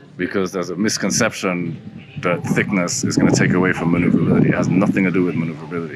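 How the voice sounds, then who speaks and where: A man speaks very fast in a very deep, low voice with ordinary pitch variation. Noticeable background noise sits behind him. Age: 60s. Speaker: surfer and surfboard shaper. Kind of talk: interview answer. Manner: casual, conversational.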